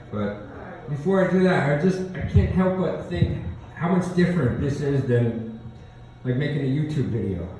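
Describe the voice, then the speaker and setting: A man's fairly high voice with very wide pitch swings, over noticeable background noise. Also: moderate pace. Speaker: spoken word poet. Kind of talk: casual talk to live audience.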